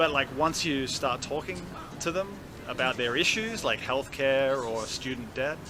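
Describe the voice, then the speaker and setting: With music in the background, a man in an Australian accent talks at a fairly slow pace, with a fairly high pitch and lively intonation. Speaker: campaign volunteer. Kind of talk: street interview. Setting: outdoors.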